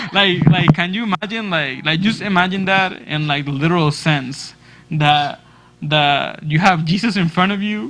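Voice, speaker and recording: Music plays behind a man with a Spanish accent and a high pitch. He talks at a moderate pace with ordinary pitch variation. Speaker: church youth leader. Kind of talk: youth group discussion.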